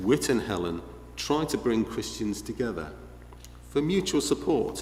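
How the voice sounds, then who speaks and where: A man with a Liverpool accent at a fairly slow pace, with audible room echo. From northern England, Liverpool. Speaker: visiting preacher. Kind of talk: sermon.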